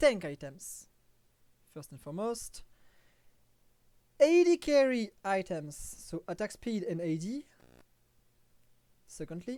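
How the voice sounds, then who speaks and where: On a very clean recording with a silent background, a woman with a French accent speaks at a very slow pace with long, frequent pauses, big swings in loudness and very wide pitch swings. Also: medium pitch for a woman. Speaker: gaming streamer. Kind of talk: tutorial. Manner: halting, with frequent fillers.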